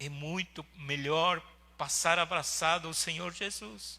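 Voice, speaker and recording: Speaking at a very slow pace, a man has a non-native accent. His tone is bright and sharp. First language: not Portuguese (speaking Portuguese). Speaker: pastor. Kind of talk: sermon. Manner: halting.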